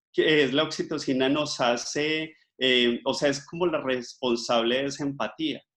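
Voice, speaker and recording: A man's fairly high-pitched voice at a very slow pace, against a quiet background. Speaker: microbiologist and life coach giving a talk. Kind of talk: online talk.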